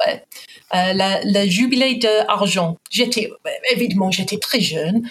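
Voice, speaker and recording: In an English accent, a woman speaks at a very slow pace with long, frequent pauses. Her pitch variation is ordinary and her loudness stays very even. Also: medium pitch for a woman. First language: English (speaking French). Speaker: guest. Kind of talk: interview. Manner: halting.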